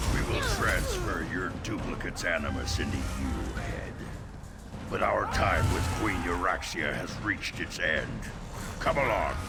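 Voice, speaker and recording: A man uses a put-on character voice. Loud background noise runs behind him. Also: moderate pace. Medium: game stream. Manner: smug.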